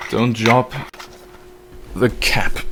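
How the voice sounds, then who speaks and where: A man at a very slow pace with ordinary pitch variation, against noticeable background noise. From German-speaking country. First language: German. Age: 20s. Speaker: video game streamer. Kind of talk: live stream chat. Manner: casual.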